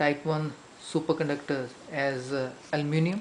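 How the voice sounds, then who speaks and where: Someone with an Indian accent speaks at a moderate pace over noticeable background noise. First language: Hindi. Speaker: science teacher. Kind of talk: lecture. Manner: hesitant fillers.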